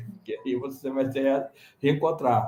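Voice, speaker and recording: A man talks at a moderate pace. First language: non-Portuguese (Senegalese languages/French) (speaking Portuguese). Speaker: conference panelist, immigrant parent. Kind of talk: panel discussion.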